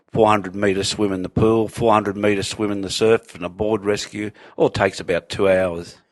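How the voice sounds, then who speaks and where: Against a quiet background, a man with an Australian accent speaks at a moderate pace and a fairly low pitch, with monotone, flat intonation and hardly any pauses. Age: 60s. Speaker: surf lifesaver and former policeman. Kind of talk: casual chat.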